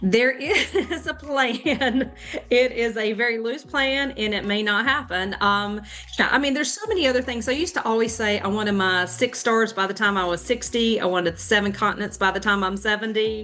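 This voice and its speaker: With an American accent, a woman talks at a fairly quick pace in a fairly high voice with ordinary pitch variation, over noticeable background noise. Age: 50s. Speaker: ultrarunner and running coach. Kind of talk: podcast interview. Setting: podcast. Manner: hesitant with many fillers.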